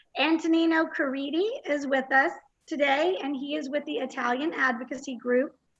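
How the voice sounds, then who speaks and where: A woman speaks in a Texan accent. Her high-pitched voice shows ordinary pitch variation. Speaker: conference host. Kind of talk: event welcome speech. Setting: virtual conference livestream.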